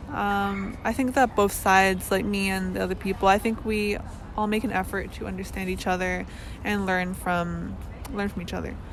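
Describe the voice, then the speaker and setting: Background music accompanies a woman talking at a moderate pace. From Canada, Metro Vancouver. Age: 20s. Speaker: exchange student. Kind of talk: unscripted personal reflection. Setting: outdoors under trees. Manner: hesitant, many fillers.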